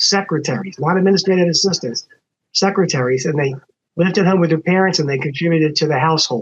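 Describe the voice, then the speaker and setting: With an American accent, a man talks very fast at a fairly high pitch, keeping his loudness very even. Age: 70s. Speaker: lawyer, former bar association president. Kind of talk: casual podcast conversation. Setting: podcast recording.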